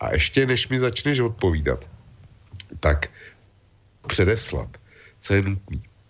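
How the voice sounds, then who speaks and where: A somewhat breathy man's voice moves through very wide pitch swings. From Czech Republic. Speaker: web portal founder and commentator. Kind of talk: casual discussion.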